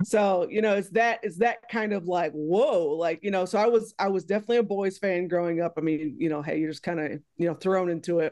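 This woman has an unremarkable speaking voice at a medium pitch with ordinary pitch variation. She moves at a fairly quick pace with hardly any pauses. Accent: American. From Texas. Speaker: sports journalist. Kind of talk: interview. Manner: casual with frequent fillers.

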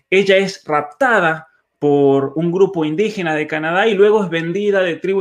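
Over a quiet background, a man with a high pitch speaks at a fairly slow pace with lively intonation. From Argentina, San Juan. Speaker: author and cultural commentator. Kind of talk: conversational interview.

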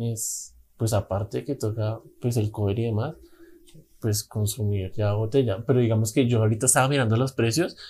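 A man speaks at a moderate pace with a medium pitch, a somewhat breathy quality, and fairly even intonation. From Colombia, Bogotá. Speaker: podcast co-host, musician. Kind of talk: casual chat.

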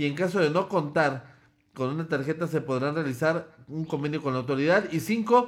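The man's voice is fairly high in pitch, with ordinary pitch variation. He speaks at a fairly quick pace. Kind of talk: casual news commentary. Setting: live video stream.

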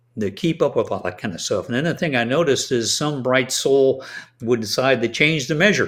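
A fairly high-pitched man at a moderate pace, lively intonation, on a very clean recording with a silent background. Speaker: retired Navy doctor and author. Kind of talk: interview. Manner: hesitant, filler-heavy.

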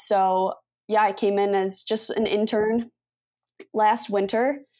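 A woman at a medium pitch, with ordinary pitch variation. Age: 20s. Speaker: sports agent. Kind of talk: interview. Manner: halting.

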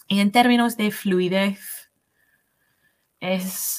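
A woman in an English accent, somewhat breathy, very slow, with fairly even intonation. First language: English (speaking Spanish). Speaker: English language assistant, Spanish learner. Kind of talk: interview. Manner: halting, many fillers and restarts.

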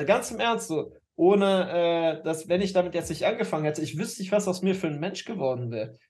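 A man with a high pitch, ordinary pitch variation and a fairly quick pace. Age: 30s. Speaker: dating coach podcast co-host. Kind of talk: casual chat. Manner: halting, many fillers.

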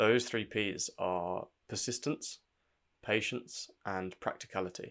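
At a very slow pace, a man speaks with a fairly low pitch and ordinary pitch variation. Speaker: personal branding podcaster. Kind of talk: solo scripted-style podcast monologue with tips. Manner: informal, conversational, with fillers.

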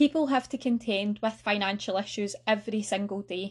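A woman speaks with a Lanarkshire accent, somewhat breathy, at a moderate pace. Her intonation is fairly even against a quiet background. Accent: Scottish (Lanarkshire). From Scotland, North Lanarkshire. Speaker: financial education officer, podcast host. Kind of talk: solo educational podcast talk.

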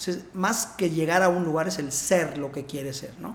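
A high-pitched man in a central Mexican accent at a fairly quick pace, with audible room echo. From Puebla, Mexico. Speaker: interventional cardiologist. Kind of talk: casual interview.

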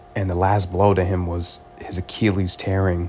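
Over noticeable background noise, a man talks in a very deep, low pitch with monotone, flat intonation. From Los Angeles, US West Coast. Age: 20s. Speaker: podcaster. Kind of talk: solo podcast monologue. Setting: in bed at home.

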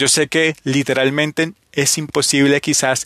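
The sound is dry and close with no echo as a man speaks at a fairly high pitch with fairly even intonation. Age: 30s. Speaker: motivational podcast host. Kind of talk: motivational monologue.

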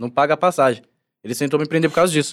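The speaker is a man with a fairly high pitch. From Brasilândia, North Zone of São Paulo, Brazil. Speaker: actor in a TV series. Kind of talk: casual chat.

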